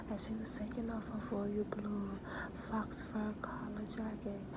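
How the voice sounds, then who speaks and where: Someone whispers over noticeable background noise. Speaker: author reading own book. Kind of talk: ASMR whispered book reading. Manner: whispered.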